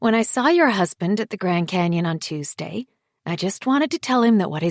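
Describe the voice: Lively intonation and plain reading aloud over a quiet background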